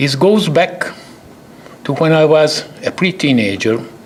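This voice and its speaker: Through noticeable background noise, a man with a Hungarian accent talks fairly slowly at a fairly high pitch with lively intonation. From Hungary. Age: 80s+. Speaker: chemist, award recipient. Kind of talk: award acceptance speech.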